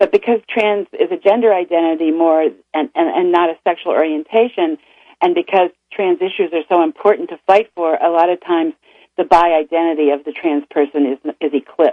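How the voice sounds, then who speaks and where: A woman with an unremarkable speaking voice talks at a fairly quick pace, her pitch fairly low and her pitch variation ordinary. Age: 60s. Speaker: author and bisexual activist. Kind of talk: radio interview. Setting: radio studio.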